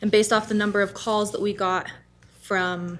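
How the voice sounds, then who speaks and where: A soft-spoken woman talks at a moderate pace. Her intonation stays fairly even. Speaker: city ordinance enforcement staff. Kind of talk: public meeting presentation. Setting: city council meeting. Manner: hesitant, many fillers. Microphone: too far from microphone, hard to hear.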